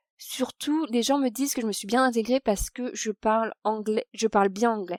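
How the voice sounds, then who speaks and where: At a moderate pace, a woman with a fairly high pitch and ordinary pitch variation speaks in a dry, close sound with no echo. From France, Paris. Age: 30s. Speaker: expat interviewee. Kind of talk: podcast interview. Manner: hesitant, many fillers.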